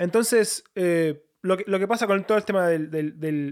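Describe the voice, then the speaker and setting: Speaking at a fairly slow pace in an Argentine accent, a man has a high pitch with ordinary variation. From Argentina, Buenos Aires (Lanús). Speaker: missionary. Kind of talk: interview. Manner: halting, many fillers.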